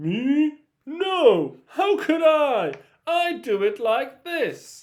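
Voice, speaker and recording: In a put-on character voice, the speaker uses a high pitch and talks very slowly. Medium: read story.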